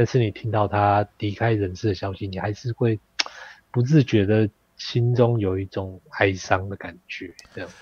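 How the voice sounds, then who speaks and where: In a dry, close recording with no echo, a man with a fairly low, somewhat breathy voice talks at a moderate pace, his intonation fairly even but his loudness swinging widely. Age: 40s. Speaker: history content creator. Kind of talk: casual chat.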